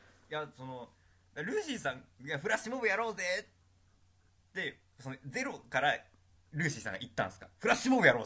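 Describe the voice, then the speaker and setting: A man with a fairly high pitch and a bright, sharp tone talks at a very fast pace, broken by long, frequent pauses. His loudness swings widely and his pitch swings very wide. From Tokyo. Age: young. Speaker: university student podcast co-host. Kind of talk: casual chat.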